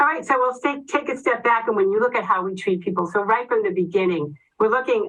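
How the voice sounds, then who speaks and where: With a Boston accent, a woman speaks fairly quickly in a fairly high pitch and with lively intonation. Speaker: oncology nurse. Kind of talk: educational presentation. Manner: fast.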